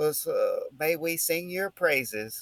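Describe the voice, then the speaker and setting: A man with an American accent, at a very slow pace. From Texas, El Paso area. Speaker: political commentary podcast host. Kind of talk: casual political discussion. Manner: halting, with fillers and restarts.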